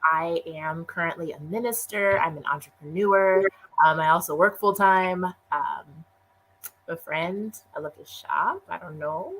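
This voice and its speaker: In a plain, everyday voice, a woman speaks at a fairly slow pace with medium pitch and ordinary pitch variation. Her loudness swings widely. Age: 30s. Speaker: minister and entrepreneur. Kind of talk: casual interview chat.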